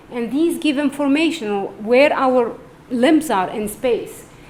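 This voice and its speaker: A woman's high voice with lively intonation at a fairly slow pace, carrying audible room echo. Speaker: neurologist. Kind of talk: lecture.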